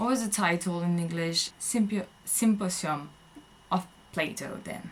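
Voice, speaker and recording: The speaker has a French accent. Pitch varies in an ordinary way. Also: woman. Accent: French accent, self-described. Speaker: vlogger. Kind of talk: casual monologue. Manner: hesitant, many fillers.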